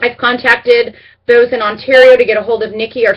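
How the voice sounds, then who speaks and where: At a fairly quick pace, a woman talks in a fairly high voice. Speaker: direct sales team leader. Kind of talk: team update video. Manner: fast; animated.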